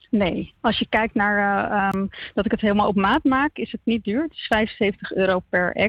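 In an ordinary speaking voice, a woman of medium pitch speaks fairly slowly with ordinary pitch variation. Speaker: theatre maker. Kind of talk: interview. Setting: phone call.

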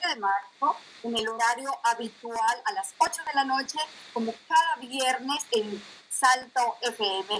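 Very slowly, a woman speaks at a high pitch. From Colombia, provinces. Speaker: radio host. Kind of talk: interview. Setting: video call from home.

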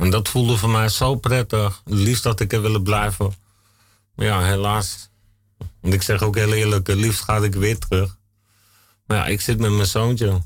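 In a very clean recording with a silent background, a man speaks at a moderate pace with long, frequent pauses, very even loudness, a fairly low pitch, monotone, flat intonation and a somewhat breathy quality. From Brabant, Netherlands (born in Limburg). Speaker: guest telling life story. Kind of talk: radio interview. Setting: studio.

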